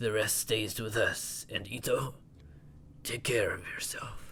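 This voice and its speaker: A man performs a put-on character voice that sounds raspy. He speaks at a fairly slow pace. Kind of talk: let's play commentary. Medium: actual play. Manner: stern, authoritative.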